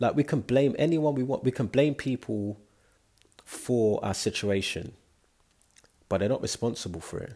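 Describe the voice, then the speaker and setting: Speaking at a moderate pace with long, frequent pauses, a man uses a dark, mellow, somewhat breathy tone at medium pitch with lively intonation. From London. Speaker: solo podcaster. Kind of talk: personal monologue. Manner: hesitant, filler-heavy.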